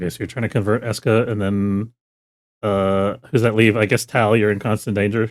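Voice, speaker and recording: With a New Jersey accent, a man talks at a fairly quick pace in a monotone, flat delivery and a fairly low pitch, on a very clean recording with a silent background. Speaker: game master. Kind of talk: tabletop roleplaying game session. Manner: casual, hesitant with fillers.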